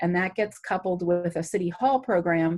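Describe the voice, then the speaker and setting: A woman's fairly low-pitched, an unremarkable speaking voice, with fairly even intonation at a moderate pace. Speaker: city health department director. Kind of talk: talk to a community group.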